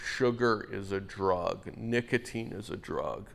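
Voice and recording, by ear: A man talks slowly at a fairly low pitch, with vocal fry. His tone is fairly bright, and his pitch varies in an ordinary way.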